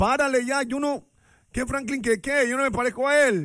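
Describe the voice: Delivered at a moderate pace, the voice has a fairly bright tone. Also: man.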